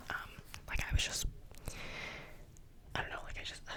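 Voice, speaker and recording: A woman whispers over noticeable background noise. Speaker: ASMR youtuber. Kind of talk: casual monologue. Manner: fast; animated.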